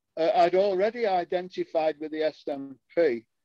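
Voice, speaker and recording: Heard in a dry, close sound with no echo, a man with a high pitch and a dark, mellow tone speaks at a moderate pace with ordinary pitch variation. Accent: northern English. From northern England. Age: 70s. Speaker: political podcast co-host. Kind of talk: casual political discussion.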